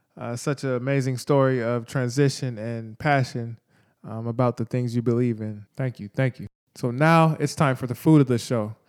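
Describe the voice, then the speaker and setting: In a very clean recording with a silent background and a dry, close sound with no echo, a man with an unremarkable speaking voice talks at a moderate pace, medium in pitch, with fairly even intonation. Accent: American. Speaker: podcast co-host. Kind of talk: scripted podcast segment.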